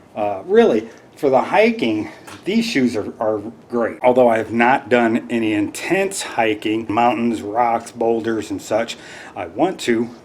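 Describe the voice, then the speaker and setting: Background noise can be clearly heard. Over it, a man speaks fairly slowly. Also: medium pitch for a man, ordinary pitch variation. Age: 50s. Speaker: hiking vlogger. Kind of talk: casual product review vlog. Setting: home living room.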